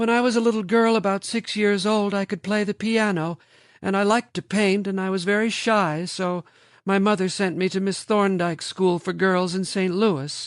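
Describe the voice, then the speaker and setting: A man uses a put-on character voice, high-pitched and shrill, at a moderate pace. The sound is dry and close with no echo, over a quiet background. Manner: flat, without inflection.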